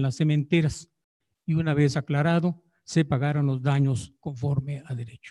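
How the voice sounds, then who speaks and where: A man's fairly high, somewhat breathy voice with a dark, mellow tone, fairly even intonation and a fairly slow pace, over a quiet background. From Jiquilpan, Michoacán, Mexico; Michoacán, Mexico. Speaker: historian researcher. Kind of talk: paper reading. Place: hall.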